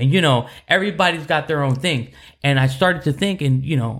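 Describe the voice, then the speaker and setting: The recording is very clean with a silent background. A man with an ordinary speaking voice talks fairly quickly at medium pitch. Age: 30s. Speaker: church podcast co-host. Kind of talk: casual faith chat.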